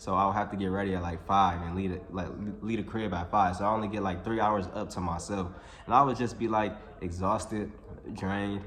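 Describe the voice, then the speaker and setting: There is audible room echo as a man speaks fairly quickly, keeping his intonation fairly even. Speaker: YouTuber. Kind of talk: casual vlog monologue. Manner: halting, self-described stuttering; casual, filler-heavy.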